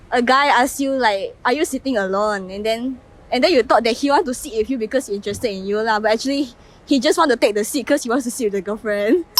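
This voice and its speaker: A woman with a Malaysian accent talks at a very fast pace in a high-pitched voice. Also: ordinary pitch variation. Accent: Malaysian English (Manglish). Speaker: interviewee on the street. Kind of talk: street interview.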